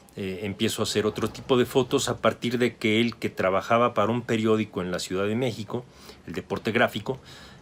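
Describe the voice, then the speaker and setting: Using a normal speaking voice, a man with a fairly low pitch talks at a fairly quick pace with ordinary pitch variation. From Mexico City. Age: 60s. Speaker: photographer and photography teacher. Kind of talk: interview.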